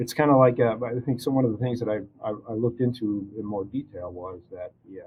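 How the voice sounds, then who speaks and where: A man with an American accent at medium pitch, somewhat breathy, with fairly even intonation and a very fast pace. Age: 60s. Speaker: arborist. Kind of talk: casual interview. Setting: studio.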